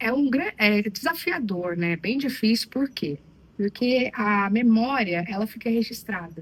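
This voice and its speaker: Over noticeable background noise, a woman speaks at a fairly slow pace with a slight Minas Gerais accent. Her pitch is fairly high and her intonation lively. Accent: slight Minas Gerais (mineiro). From Brazil, Minas Gerais. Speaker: psychologist. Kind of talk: interview.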